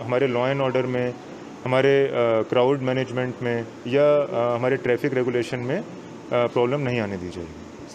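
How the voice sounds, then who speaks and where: Fairly slow delivery with fairly even intonation over noticeable background noise. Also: man. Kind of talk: press statement answer. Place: hall. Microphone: handheld.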